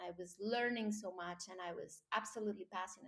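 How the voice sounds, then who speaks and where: A woman speaks with a Colombian accent. Her pitch is fairly high. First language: Spanish. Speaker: marine biologist. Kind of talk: interview. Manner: animated.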